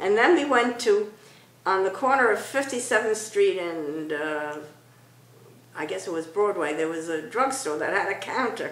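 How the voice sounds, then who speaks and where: A woman's medium-pitched voice with an American accent and lively intonation at a moderate pace, over noticeable background noise. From Brooklyn, New York. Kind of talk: interview answer.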